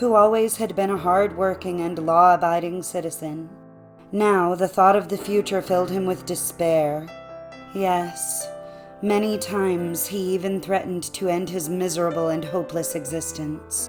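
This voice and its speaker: With music in the background, a woman speaks at a moderate pace in a calm, soothing tone with fairly even intonation. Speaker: narrator. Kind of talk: audiobook fairy tale reading.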